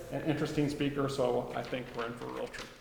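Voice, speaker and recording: Through noticeable background noise and audible room echo, a man speaks at a fairly high pitch. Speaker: gallery host introducing artist. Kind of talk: event introduction. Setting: art gallery with live audience. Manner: loud.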